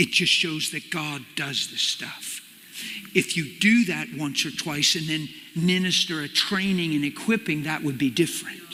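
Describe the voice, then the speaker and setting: The speaker goes at a moderate pace with ordinary pitch variation. Noticeable background noise runs underneath. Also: man, fairly high pitch for a man. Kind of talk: personal testimony / sermon to an audience. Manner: casual, animated storytelling.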